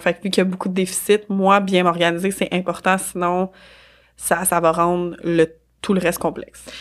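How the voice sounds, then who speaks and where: In a Quebec accent, a woman speaks with a fairly low pitch and monotone, flat intonation. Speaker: business organization consultant. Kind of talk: casual interview. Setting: studio.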